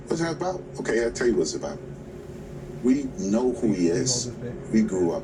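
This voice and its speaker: A man with a New York accent speaks at medium pitch with very wide pitch swings and long, frequent pauses, amid audible room echo and noticeable background noise. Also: moderate pace. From New York City, Queens. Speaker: labor union president. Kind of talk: TV news interview. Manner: emphatic.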